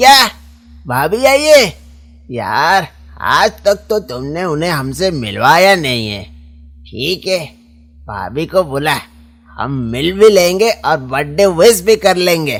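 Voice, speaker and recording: A man uses a cartoonish character voice, high-pitched with very wide pitch swings. He speaks at a fairly slow pace with long, frequent pauses while faint music plays in the background. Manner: casual, slangy.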